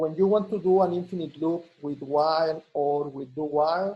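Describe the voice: With a slightly husky edge, a man speaks at a moderate pace in a fairly high pitch with ordinary pitch variation.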